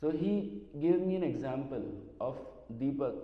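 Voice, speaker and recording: Audible room echo and noticeable background noise fill the recording. A man speaks at a fairly high pitch. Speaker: devotee, former secretary to a spiritual teacher. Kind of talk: memorial talk. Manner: halting.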